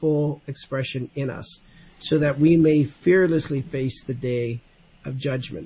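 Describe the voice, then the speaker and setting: At a fairly slow pace, a somewhat breathy voice shows ordinary pitch variation. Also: man. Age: 60s. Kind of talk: casual faith discussion.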